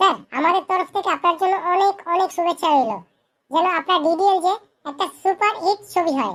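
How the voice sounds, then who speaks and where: In a squeaky, cartoonish character voice at an extremely high pitch, the speaker moves at a fairly quick pace. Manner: deferential, eager.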